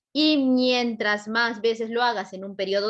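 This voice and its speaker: A woman talks at a moderate pace with ordinary pitch variation in a normal speaking voice. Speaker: psychology teacher at exam prep academy. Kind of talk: lecture.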